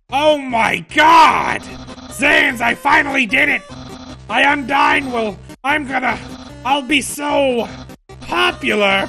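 A man does a put-on character voice at a fairly slow pace, with faint music in the background. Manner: pompous, excitable, loud.

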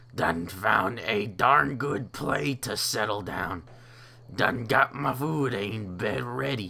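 Put-on character voice from a man, raspy, gravelly and strained, with lively intonation at a fairly slow pace, over clear background noise

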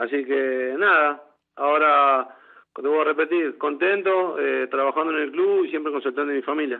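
A man with a Rioplatense accent, fairly high in pitch, moderate in pace, with fairly even intonation. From Buenos Aires, Argentina. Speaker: former footballer. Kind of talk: radio interview.

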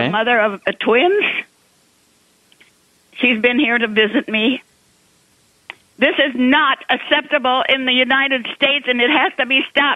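In a quiet background, a woman with a high pitch talks at a moderate pace with ordinary pitch variation and long, frequent pauses. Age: 80s+. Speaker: talk show caller. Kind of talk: radio call-in. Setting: phone line. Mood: distressed, urgent. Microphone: phone line.

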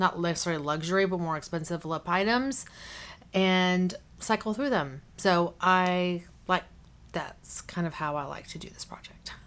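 Speaking at a moderate pace, a woman uses a fairly low pitch with ordinary pitch variation and big swings in loudness. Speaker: beauty vlogger. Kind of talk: casual vlog chat. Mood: cheerful, chatty. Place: home room.

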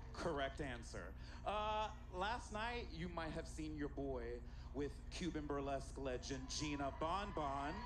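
Noticeable background noise is present. Over it, a man talks fairly slowly. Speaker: event host, emcee. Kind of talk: stage hosting banter. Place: stage. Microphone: handheld.

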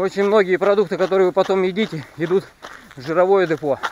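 The sound is dry with no echo, and light background noise can be heard. A man speaks at a moderate pace in a high pitch. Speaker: fitness vlogger. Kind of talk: casual vlog chat. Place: forest. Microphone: phone near.

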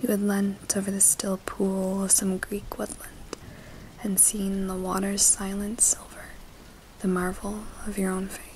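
Someone whispers, soft-spoken, at a fairly slow pace. Light background noise is present. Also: woman. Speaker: booktuber, literature student. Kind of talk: ASMR book reading. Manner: whispered, soft-spoken. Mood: gentle, intimate.

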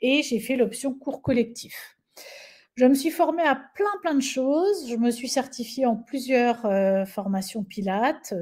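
A woman talks very slowly, and the background is quiet. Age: 50s. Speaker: Pilates instructor and trainer; Pilates instructor, trainer. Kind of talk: webinar presentation. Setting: online webinar. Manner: animated. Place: home room. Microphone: webcam.

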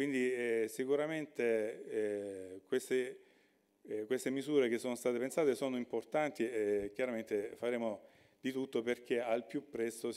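With a Salentine accent, a man speaks at a moderate pace and medium pitch, showing ordinary pitch variation and a dark, mellow tone. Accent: Salentine (Lecce) Italian. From Salento, Lecce area. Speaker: regional government official. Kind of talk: conference talk.

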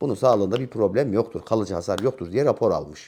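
With lively intonation, a man speaks in a dark, mellow tone in a very clean recording with a silent background. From Central Anatolia, Turkey (Nevşehir village, then Ankara). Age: 50s. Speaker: retired gendarmerie NCO, counter-terror veteran. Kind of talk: interview. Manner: hesitant fillers.

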